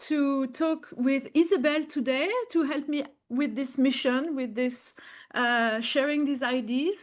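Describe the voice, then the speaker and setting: At a fairly slow pace, a woman speaks in a high voice with a strong French accent. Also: quiet background. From French-speaking country. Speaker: podcast host. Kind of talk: interview conversation; guided meditation. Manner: slow, calm.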